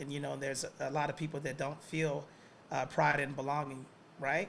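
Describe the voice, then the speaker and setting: A man speaks with an American accent and vocal fry. His pitch is fairly high and his intonation fairly even. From US South, Atlanta. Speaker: professor. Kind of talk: lecture.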